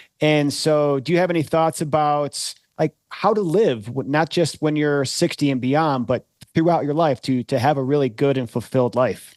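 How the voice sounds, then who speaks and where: Speaking at a moderate pace with a plain, everyday voice, a man keeps his loudness very even and his pitch variation ordinary, in a dry, close sound with no echo. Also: fairly high pitch for a man. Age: 50s. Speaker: podcast host. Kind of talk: interview.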